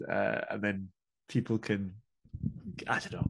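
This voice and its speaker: Someone with a Scottish accent talks at a moderate pace. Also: man. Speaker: metal band vocalist and drummer. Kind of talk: interview.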